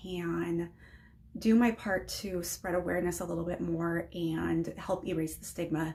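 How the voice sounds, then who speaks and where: Vocal fry runs through a voice with an American accent at a moderate pace. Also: woman. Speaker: mental health vlogger. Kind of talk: personal vlog talk. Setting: unheated back shed. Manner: hesitant, many ums.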